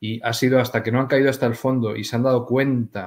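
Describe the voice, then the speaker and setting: Over a quiet background, a man talks fairly quickly at a medium pitch in a monotone, flat intonation. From Spain. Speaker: aromatherapy author; interview guest. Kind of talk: interview. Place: home room.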